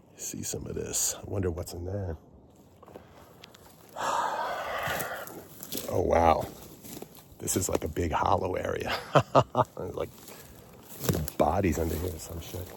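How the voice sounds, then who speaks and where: In a put-on character voice with a very deep, low pitch, a man mumbles at a fairly slow pace with long, frequent pauses over light background noise. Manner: casual, mumbling.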